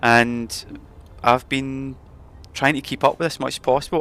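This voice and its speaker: Speaking in a Scottish accent, a man uses a medium pitch and a bright, sharp tone. The recording is very clean and the background silent. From Scotland. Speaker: gaming streamer. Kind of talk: live stream chat.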